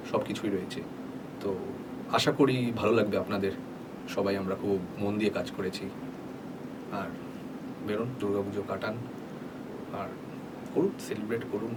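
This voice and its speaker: A man with a fairly low pitch amid noticeable background noise. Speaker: voice-over artist. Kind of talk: casual talk to camera, behind-the-scenes interview answer. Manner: conversational, code-switching between Bengali and English.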